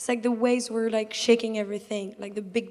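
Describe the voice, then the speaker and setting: A woman with a French accent speaks at a fairly high pitch in monotone, flat intonation, with noticeable background noise. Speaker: audience member. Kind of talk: audience Q&A sharing.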